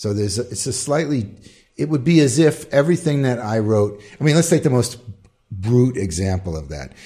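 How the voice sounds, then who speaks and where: Somewhat breathy and dark, mellow in tone, a man speaks fairly quickly at medium pitch with lively intonation. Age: 60s. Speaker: composer. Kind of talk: interview.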